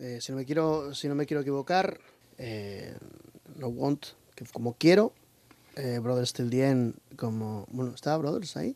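A man speaks at a fairly slow pace in a medium pitch with a dark, mellow tone and ordinary pitch variation, leaving long, frequent pauses in a dry, close sound with no echo. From Asturias, Spain (Lugones). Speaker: heavy metal singer. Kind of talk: radio interview. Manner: halting, many fillers.

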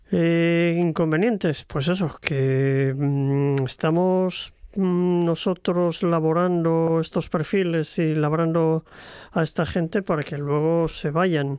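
Over a quiet background, a man with a high pitch talks at a very slow pace, his loudness very even and his intonation fairly even. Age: 60s. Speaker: retired teacher and author. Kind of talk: radio interview. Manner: hesitant, many fillers.

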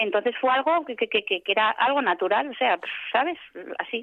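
Speaking with lively intonation at a fairly quick pace, a woman has a fairly high pitch and an unremarkable speaking voice. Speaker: journalist. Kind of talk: interview. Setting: phone call.

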